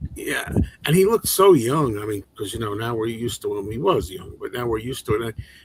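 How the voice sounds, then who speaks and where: Delivered at a fairly quick pace, the speech has big swings in loudness against noticeable background noise. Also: man, medium pitch for a man. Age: 60s. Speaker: movie channel host. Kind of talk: casual livestream chat. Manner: halting, repeats words.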